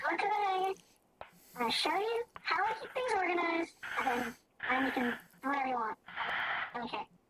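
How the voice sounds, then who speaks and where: A squeaky, put-on character voice at an extremely high pitch races at a fairly quick pace, with very wide pitch swings and long, frequent pauses. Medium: game stream. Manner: fussy, possessive.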